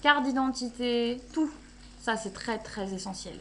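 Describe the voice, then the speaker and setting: Her voice high and her pitch variation ordinary, a woman speaks at a fairly slow pace. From Belgium. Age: 20s. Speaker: travel vlogger. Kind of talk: casual vlog talk. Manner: animated.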